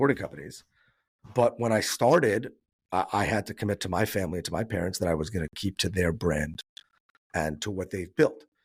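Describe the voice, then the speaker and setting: On a very clean recording with a silent background, a man with an American accent speaks very fast in a very deep, low, somewhat breathy voice with lively intonation. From New York. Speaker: business owner, risk advisor. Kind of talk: podcast interview.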